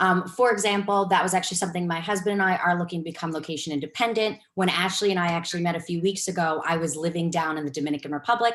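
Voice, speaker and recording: A woman talks at a very fast pace. She speaks with a New York accent. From New York City. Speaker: real estate investor and cancer researcher. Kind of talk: webinar presentation.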